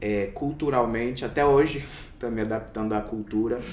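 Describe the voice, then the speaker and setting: A man talks at a moderate pace. There is audible echo from the room. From interior of São Paulo state, Brazil. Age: 20s. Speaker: doctor. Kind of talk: interview.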